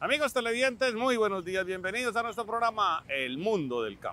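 Projecting a raised voice, a man speaks with lively intonation and a bright, sharp tone in a dry sound with no echo. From Colombia. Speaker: TV agriculture show host. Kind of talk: TV presenting, opinion commentary. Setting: outdoors on a cattle farm. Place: farm machine. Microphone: lapel.

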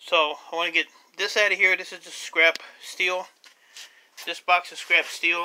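The pace is moderate, with light background noise behind the voice. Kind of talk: casual vlog chat. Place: garage. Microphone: phone near.

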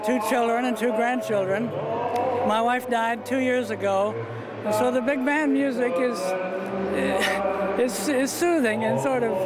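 Loud background noise sits under a man's fairly slow speech. The sound is dry with no echo, and his pauses are long and frequent. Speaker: war veteran. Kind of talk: interview answer. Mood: warm, friendly, reflective. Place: hall. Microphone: handheld.

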